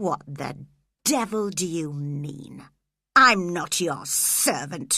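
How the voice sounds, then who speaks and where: A woman growls in a put-on character voice, her pitch fairly low with very wide swings. She speaks at a very slow pace, and her loudness swings a lot. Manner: angry, growling.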